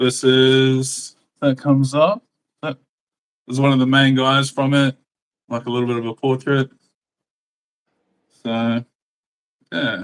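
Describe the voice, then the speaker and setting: The speaker has an Australian accent and fairly even intonation, with long, frequent pauses. The sound is dry and close, with no echo. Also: man, medium pitch for a man. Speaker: comic artist. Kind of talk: casual chat. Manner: halting.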